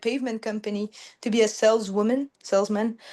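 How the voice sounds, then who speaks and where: Over a quiet background, someone with a French accent speaks at a moderate pace with monotone, flat intonation. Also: woman. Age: 20s. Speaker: business owner. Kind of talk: casual chat. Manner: halting.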